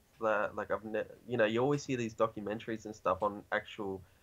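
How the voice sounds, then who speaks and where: A man at a medium pitch with an Australian accent, talking at a very fast pace. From Australia, New South Wales. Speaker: hip hop artist. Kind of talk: casual chat. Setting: video call. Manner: many fillers, rambling pace.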